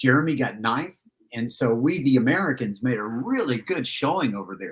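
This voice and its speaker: His medium pitch carries lively intonation as the man talks at a moderate pace. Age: 60s. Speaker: motorcycle riding coach. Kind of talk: casual podcast interview. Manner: animated.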